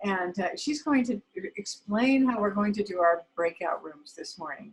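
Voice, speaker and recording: Somewhat breathy at a medium pitch, a woman speaks with lively intonation and big swings in loudness. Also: moderate pace. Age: 70s. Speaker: foundation co-founder and host. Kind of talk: hosting a video call event. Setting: video call.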